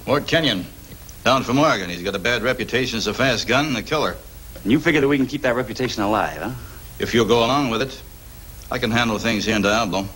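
Over light background noise, a man speaks at a very fast pace with ordinary pitch variation. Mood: serious, grave. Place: studio.

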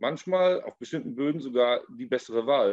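A man is speaking. The background is quiet. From Ahr valley, Germany; Germany. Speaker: winemaker; guest. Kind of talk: panel discussion. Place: home room. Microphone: video call.

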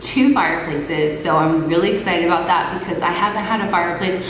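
A woman with a fairly low pitch talks at a very fast pace. Noticeable background noise and audible room echo are present. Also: ordinary pitch variation. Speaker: homeowner vlogger. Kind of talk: casual vlog chat. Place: empty room. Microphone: phone near.

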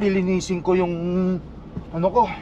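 A man with a high pitch speaks in a monotone, flat intonation, the sound dry with no echo and light background noise behind him. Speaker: truck driver vlogger. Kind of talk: casual vlog chat. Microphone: camera far.

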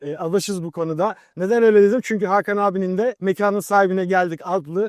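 A man speaks at a fairly quick pace in a high pitch with ordinary pitch variation, the sound dry and close with no echo. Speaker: channel host. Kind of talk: show introduction.

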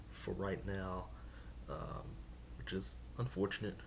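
A man speaks with a very deep, low pitch and very wide pitch swings. Background noise is noticeable. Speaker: sports commentator YouTuber. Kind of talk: casual talk to camera. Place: home room. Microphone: webcam.

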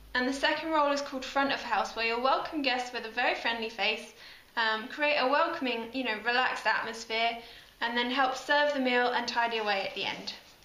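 A woman speaks at a fairly quick pace in a high pitch with fairly even intonation. Audible room echo surrounds her voice. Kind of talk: casual promotional talk. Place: hall. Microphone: phone near.

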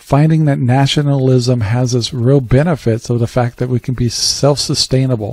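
A man's dark, mellow voice at a moderate pace with fairly even intonation, a dry sound with no echo and a quiet background. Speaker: radio show host. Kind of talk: talk radio monologue commentary. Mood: calm, reflective opinion.

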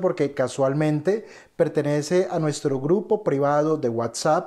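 A man at a fairly slow pace, with ordinary pitch variation against a quiet background. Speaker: trading educator. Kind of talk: casual vlog chat. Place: office. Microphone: studio mic.

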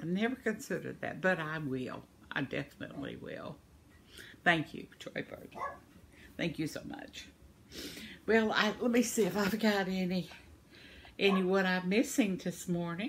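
A woman with an Arkansas accent, a warm tone and lively intonation, with big swings in loudness and long, frequent pauses over light background noise. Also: moderate pace. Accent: Southern US (Arkansas). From Arkansas, US South. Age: 70s. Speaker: vlogger, crafter. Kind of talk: elder life story, reminiscing about childhood (ditch, boat play) in a folksy tone. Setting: video vlog, home. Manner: warm, chatty, homespun, laughs often, meandering; cheerful, rambling. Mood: warm, cheerful. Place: home room. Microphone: phone near.

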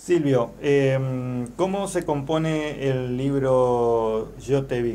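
Fairly even intonation and a dark, mellow tone over light background noise. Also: man. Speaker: radio journalist and host. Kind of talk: radio magazine host. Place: studio.

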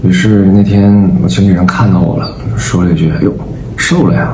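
Someone male talks at a moderate pace in a fairly low pitch. Light background noise and audible room echo can be heard. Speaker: vlogger. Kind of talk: casual vlog chat. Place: home room. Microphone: phone near.

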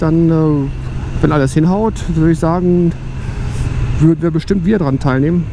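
A man's voice with fairly high pitch, vocal fry and ordinary pitch variation, over clear background noise. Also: moderate pace.

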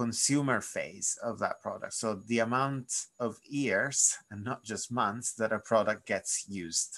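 A man with an unremarkable speaking voice talks fairly slowly at a medium pitch, with ordinary pitch variation and a quiet background. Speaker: repair campaigner. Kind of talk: webinar presentation. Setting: video call. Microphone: webcam.

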